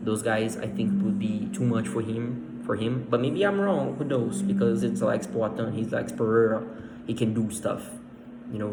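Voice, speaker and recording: Very wide pitch swings mark this moderately paced voice with a Portuguese accent, heard with audible room echo and music in the background. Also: man. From Brazil. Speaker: MMA fan commentator. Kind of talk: casual monologue. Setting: at home. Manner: halting, many fillers and repeats.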